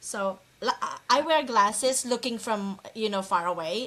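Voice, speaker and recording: Over noticeable background noise, a woman talks at a fairly high pitch with lively intonation. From Philippines. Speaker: real estate investor. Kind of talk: casual interview chat. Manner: halting, many repeats.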